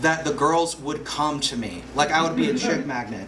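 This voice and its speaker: A man with lively intonation at a very fast pace, with audible room echo and noticeable background noise. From US South. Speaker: stand-up comedy student. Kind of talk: stand-up. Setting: stage with audience. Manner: halting.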